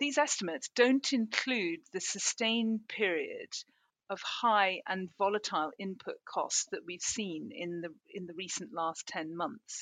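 In a normal speaking voice, a woman talks at a fairly slow pace and medium pitch, with a quiet background and a dry, close sound with no echo. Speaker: farm business consultant. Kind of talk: prepared report on survey results. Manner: formal.

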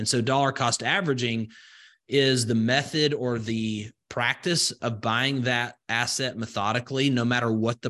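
A man with a Southern US accent, medium pitch and ordinary pitch variation, his tone bright and sharp over a quiet background. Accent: Southern US, slow vowels. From rural Alabama, US South. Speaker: crypto investor and entrepreneur. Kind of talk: casual interview.

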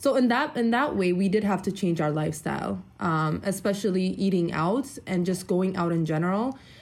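This woman talks at a medium pitch with lively intonation, very even loudness and hardly any pauses. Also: moderate pace. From Ethiopia, raised in US Midwest from age nine. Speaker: debt-free couple guest. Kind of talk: interview. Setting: video call.

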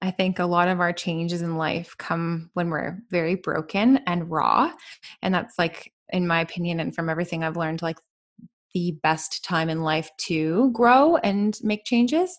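Against a quiet background, a woman with a western Canadian accent talks at a moderate pace, her fairly low pitch showing ordinary variation. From Canada, British Columbia. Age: 20s. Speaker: van lifer and podcaster. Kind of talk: casual interview chat.

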